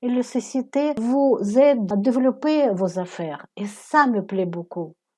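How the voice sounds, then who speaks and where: A woman with a non-native accent speaks in a dark, mellow tone, with ordinary pitch variation. The background is quiet. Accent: foreign accent in French. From Ukraine. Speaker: network marketing recruiter. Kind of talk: casual discussion on a call.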